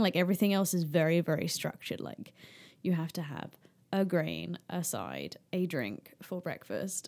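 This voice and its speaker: A woman talks at a moderate pace with a fairly low pitch and ordinary pitch variation, in a plain, everyday voice. The recording is very clean, with a silent background. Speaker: guest sharing her mental health story. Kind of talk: casual chat.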